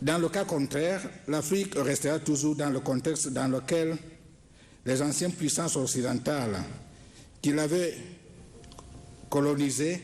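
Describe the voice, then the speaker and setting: Speaking at a fairly slow pace with long, frequent pauses, a man keeps his loudness very even. His fairly high voice has ordinary pitch variation. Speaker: government minister. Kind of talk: formal speech. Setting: ceremony with audience. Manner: halting.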